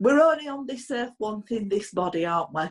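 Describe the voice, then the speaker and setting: A woman speaks with a Yorkshire accent. Her pitch swings very widely. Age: 50s. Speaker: podcast host, business owner. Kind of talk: casual chat. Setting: remote recording.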